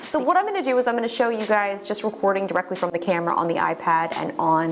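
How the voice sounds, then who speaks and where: A woman at medium pitch and a very fast pace, with ordinary pitch variation and noticeable background noise. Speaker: tech YouTuber. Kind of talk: casual product review. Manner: loud; animated.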